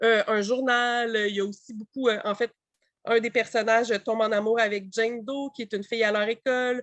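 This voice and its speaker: Delivered in a Quebec accent, the speech has flat, monotone intonation and a dry, close sound with no echo. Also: woman, fairly high pitch for a woman. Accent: Québécois French. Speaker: publisher representative. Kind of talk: book presentation. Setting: webinar. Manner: fast; hesitant, many fillers.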